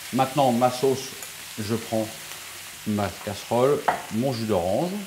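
A man talks at a fairly slow pace with ordinary pitch variation. Light background noise can be heard. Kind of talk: tutorial. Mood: calm, assured. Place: kitchen. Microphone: lapel.

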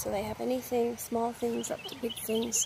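A woman's voice comes through dry with no echo, against noticeable background noise. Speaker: ASMR creator. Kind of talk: ASMR unboxing haul, casual talk to camera. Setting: outdoors with birdsong. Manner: casual, chatty. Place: garden. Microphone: phone near.

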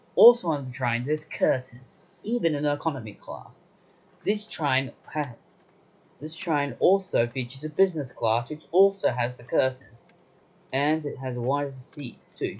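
Somewhat breathy, a man speaks at a moderate pace, leaving long, frequent pauses. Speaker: train trip reviewer. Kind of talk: casual trip review narration. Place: train. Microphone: phone near.

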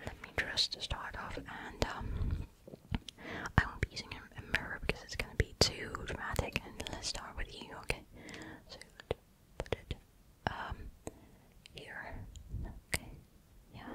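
The pace is fairly slow, with long, frequent pauses. Loud background noise sits behind a dry sound with no echo. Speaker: ASMR creator. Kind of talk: soft casual roleplay chat. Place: home room. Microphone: studio mic.

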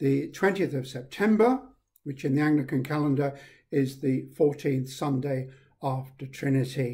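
At a fairly slow pace, a man speaks in a dark, mellow, somewhat breathy voice with ordinary pitch variation. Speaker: priest leading a service. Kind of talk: liturgy and welcome address. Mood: warm, calm, solemn. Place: home room. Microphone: webcam.

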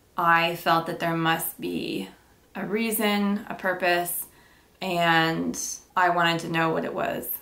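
This woman speaks very slowly in a fairly low voice. Her intonation is monotone and flat. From Ontario, Canada. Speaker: YouTuber, former welder; YouTuber. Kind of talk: casual Q&A vlog. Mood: calm, reflective. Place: home room.

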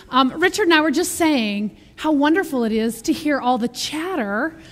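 A woman at a high pitch and a moderate pace. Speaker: minister giving announcements. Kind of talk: church announcements. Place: church.

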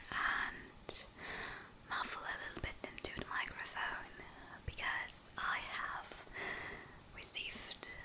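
A woman whispers and mumbles at a very slow pace, with long, frequent pauses. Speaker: ASMR creator. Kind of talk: ASMR whisper video. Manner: whispered, soft, mumbling. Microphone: studio mic.

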